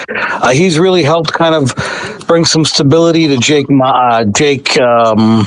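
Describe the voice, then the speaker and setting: Over noticeable background noise, a man with a fairly high pitch speaks at a fairly slow pace and very even loudness. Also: ordinary pitch variation. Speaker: sports reporter. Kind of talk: interview answer. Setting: phone line. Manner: calm, steady.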